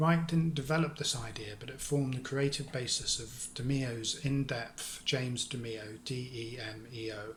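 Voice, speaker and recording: There is audible room echo around a man speaking at a medium pitch with ordinary pitch variation. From London. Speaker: lecturer on orgone theory. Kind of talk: lecture. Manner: halting.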